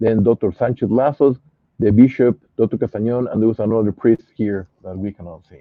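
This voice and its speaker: Here a man talks with a Spanish accent. His pitch sits in the medium range. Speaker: pathologist, scientific investigator. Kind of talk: interview. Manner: halting, many fillers.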